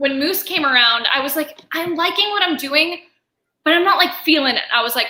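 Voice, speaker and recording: Her voice raised and projected, a woman speaks at a fairly quick pace in an extremely high pitch, with a bright, sharp, animated tone and ordinary pitch variation. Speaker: voice actor. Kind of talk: convention panel interview, casual chat.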